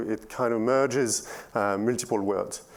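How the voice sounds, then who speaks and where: A man talks at an unhurried, moderate speed, his voice sitting at medium pitch and rising and falling in an ordinary way. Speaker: software engineer. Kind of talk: conference talk. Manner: halting, many fillers.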